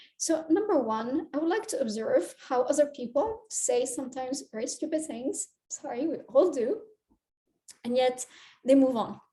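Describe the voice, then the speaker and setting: A woman's high-pitched voice with a dark, mellow tone and a non-native accent, lively in intonation and moderate in pace. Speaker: career coach. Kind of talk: talking-head advice video. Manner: hesitant with fillers.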